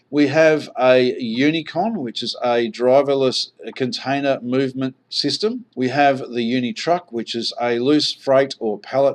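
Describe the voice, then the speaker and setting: A man with an Australian accent and a medium pitch speaks at a fairly slow pace with hardly any pauses. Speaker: online marketer, investment presenter. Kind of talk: sales presentation.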